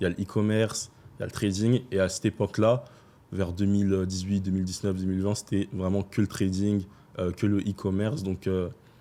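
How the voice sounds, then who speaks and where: A man with a fairly low pitch and dark, mellow tone talks at a fairly quick pace in monotone, flat intonation. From France, Paris. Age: 20s. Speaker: trader. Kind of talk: podcast interview.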